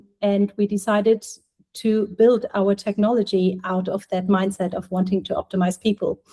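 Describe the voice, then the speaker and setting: A woman with a German accent, a dark, mellow tone, medium pitch, monotone, flat intonation and a moderate pace. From Germany. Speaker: healthtech startup co-founder, former clinician. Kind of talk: podcast interview.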